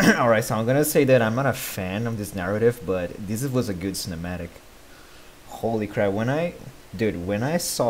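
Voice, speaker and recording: With light background noise behind him, a man speaks at a fairly low pitch with lively intonation. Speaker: reaction streamer. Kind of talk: casual reaction commentary. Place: home room. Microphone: headset.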